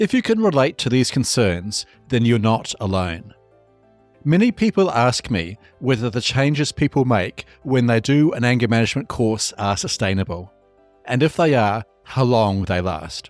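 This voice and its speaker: With music in the background, a man speaks with lively intonation and very even loudness, the sound dry and close with no echo. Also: medium pitch for a man, moderate pace. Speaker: podcast host, anger management coach. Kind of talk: podcast intro narration.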